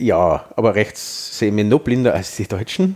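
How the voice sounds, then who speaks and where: A man talks with an Austrian accent. His pitch swings very widely. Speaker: podcast host. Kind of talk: casual chat.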